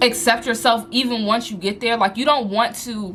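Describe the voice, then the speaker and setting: Noticeable background noise runs under a woman whose intonation is lively. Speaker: lifestyle and business coach vlogger. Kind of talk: motivational talk to camera. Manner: fast; animated.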